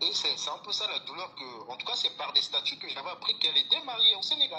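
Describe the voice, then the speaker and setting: Someone with a Gabonese accent talks at a fairly quick pace. Noticeable background noise is present. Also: man, hardly any pauses, big swings in loudness. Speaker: caller. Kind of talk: call-in testimony. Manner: halting.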